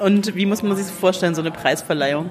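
A woman's voice at a medium pitch and moderate pace, with ordinary pitch variation, over noticeable background noise. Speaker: podcast host, book blogger. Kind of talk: interview. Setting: café.

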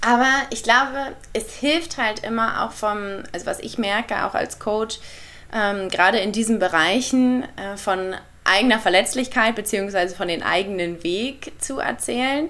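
A bright, sharp female voice at a fairly slow pace with ordinary pitch variation. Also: fairly high pitch for a woman. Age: 20s. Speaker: ayurveda coach and podcaster. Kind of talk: interview.

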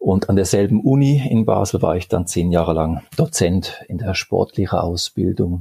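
A man with a very deep, low pitch talks with lively intonation and hardly any pauses. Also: moderate pace. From Switzerland, Geneva. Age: 40s. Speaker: sports scientist. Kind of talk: interview. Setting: video call.

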